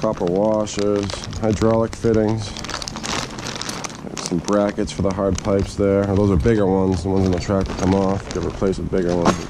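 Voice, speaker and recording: Noticeable background noise sits under the voice. The talking goes at a fairly quick pace. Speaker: tractor owner or mechanic. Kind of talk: unboxing commentary. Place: garage. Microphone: phone near.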